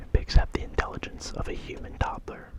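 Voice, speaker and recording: Over noticeable background noise, a man whispers at a fairly quick pace. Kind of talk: ASMR soft whisper ramble reading fun facts. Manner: soft-spoken, whispered.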